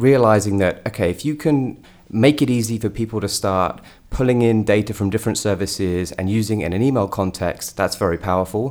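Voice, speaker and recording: Fairly quick, fairly low-pitched male voice with a British accent. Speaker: startup co-founder and CEO. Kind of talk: podcast interview.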